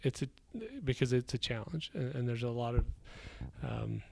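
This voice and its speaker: Here a man is speaking. His pitch is medium. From Idaho, rural US West. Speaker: real estate investor. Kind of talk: interview. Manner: halting, many repetitions.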